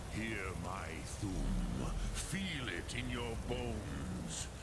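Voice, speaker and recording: A man uses a put-on character voice, very deep and low in pitch, at a very slow pace. Loud background noise fills the recording. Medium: game stream. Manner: slow, measured, archaic, mixing dragon-tongue words.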